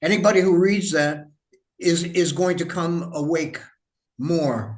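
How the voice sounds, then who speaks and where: A man with an American accent speaks at a fairly slow pace, and there is audible room echo. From United States. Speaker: writer and historian interviewer. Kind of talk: interview conversation.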